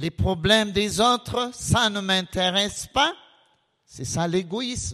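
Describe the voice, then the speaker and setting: A man's high-pitched, raised, projected voice with lively intonation at a very slow pace. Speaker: preacher. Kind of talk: sermon. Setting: church.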